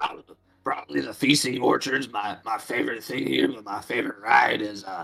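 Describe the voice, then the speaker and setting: A man puts on a character voice, guttural, raspy and strained at a medium pitch. He goes at a fairly quick pace with faint music in the background. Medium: actual play. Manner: chatty, friendly.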